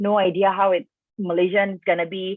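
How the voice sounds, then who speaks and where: A woman speaks with an Indonesian accent. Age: 20s. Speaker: expat panel speaker. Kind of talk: online panel talk. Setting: video call livestream. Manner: casual, many fillers.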